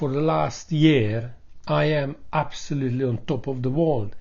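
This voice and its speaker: A somewhat breathy man's voice, fairly high-pitched, carries ordinary pitch variation. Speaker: vlogger, accident survivor. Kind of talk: personal vlog testimony. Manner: slow.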